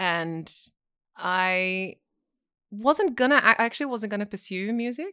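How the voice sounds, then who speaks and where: A woman with an Australian accent, bright and sharp in tone, lively in intonation, at a fairly slow pace with long, frequent pauses, on a very clean recording with a silent background. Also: medium pitch for a woman. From Australia, Sydney. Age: 30s. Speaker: singer, actor and yoga teacher. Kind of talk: casual chat.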